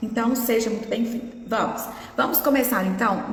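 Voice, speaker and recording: A woman's high voice with audible room echo and noticeable background noise. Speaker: nutritionist. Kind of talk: live stream talk. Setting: Instagram live.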